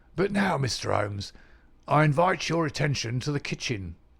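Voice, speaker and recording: A man uses a put-on character voice, raspy and fairly high. His pitch swings very widely at a moderate pace. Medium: read story. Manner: crisp, authoritative.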